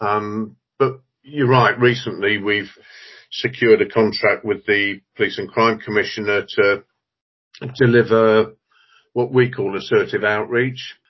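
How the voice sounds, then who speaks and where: Speaking at a fairly slow pace with long, frequent pauses, a man delivers his words in a flat monotone at a medium pitch. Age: 50s. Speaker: youth charity chief executive. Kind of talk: interview.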